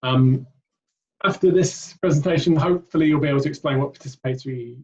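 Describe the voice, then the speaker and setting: This man's voice sits fairly high in pitch, is somewhat breathy, and has ordinary pitch variation. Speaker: charity director and PhD researcher. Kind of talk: webinar presentation.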